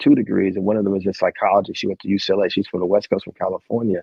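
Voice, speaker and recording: A man with a fairly low voice and an American accent. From New Jersey (Jersey City). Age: 40s. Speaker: author and poet. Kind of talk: interview conversation. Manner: fast at times; animated.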